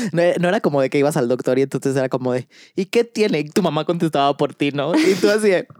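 Talking at a very fast pace with lively intonation and very even loudness, this man has a fairly high pitch, recorded with a dry, close sound and no echo. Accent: Mexican. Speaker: podcast co-host. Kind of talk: casual chat.

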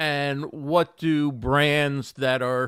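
The recording is very clean with a silent background. A man speaks with a fairly high pitch. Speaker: live streaming show host. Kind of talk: live stream interview show. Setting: live stream studio with microphone and audio interface. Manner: radio-style delivery.

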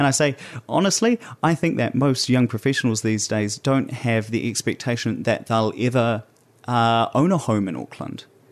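A man with a New Zealand accent and a medium pitch speaks at a moderate pace with ordinary pitch variation against a quiet background. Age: 20s. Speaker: podcast host. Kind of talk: solo podcast monologue.

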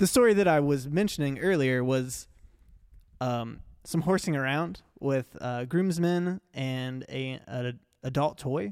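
In a very clean recording with a silent background, a man with an unremarkable speaking voice talks fairly slowly at a fairly high pitch. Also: ordinary pitch variation. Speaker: podcast host. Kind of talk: casual podcast interview. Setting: studio. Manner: jokey, laughing.

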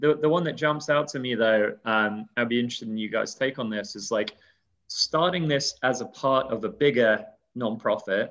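A man speaks with a British accent. His pace is moderate and his pitch varies in an ordinary way. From UK. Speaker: crowdfunding business development director. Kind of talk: casual interview chat.

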